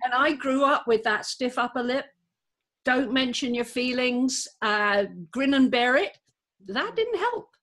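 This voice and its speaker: Fairly slowly, a woman speaks in a high pitch. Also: ordinary pitch variation. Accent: British. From Britain. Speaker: co-host, physician. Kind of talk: casual chat.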